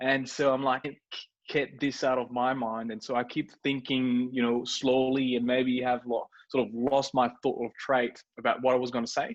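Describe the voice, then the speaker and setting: Against a quiet background, a man with a slight French accent speaks at a moderate pace in a medium pitch and a flat monotone. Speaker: startup co-founder. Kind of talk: interview. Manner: halting, many fillers and repeats.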